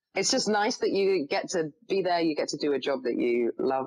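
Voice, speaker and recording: A woman with an English accent, lively intonation and a fairly quick pace. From England. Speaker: actress. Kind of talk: podcast interview, casual chat. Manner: chatty, many fillers.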